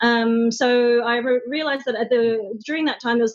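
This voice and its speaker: This woman's voice is fairly high. She talks at a fairly quick pace. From Australia. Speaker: social media manager. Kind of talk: interview. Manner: hesitant, many fillers.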